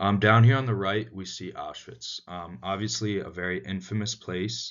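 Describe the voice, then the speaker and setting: An ordinary speaking voice in an American accent, with ordinary pitch variation, big swings in loudness and a moderate pace. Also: man, fairly low pitch for a man. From United States. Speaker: student. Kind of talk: class presentation. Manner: frequent filler words (um, uh).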